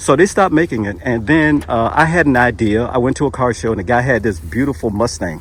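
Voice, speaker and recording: A man's medium-pitched voice with vocal fry, very wide pitch swings, a very fast pace and hardly any pauses. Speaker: YouTube interviewer. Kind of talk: casual talk to camera.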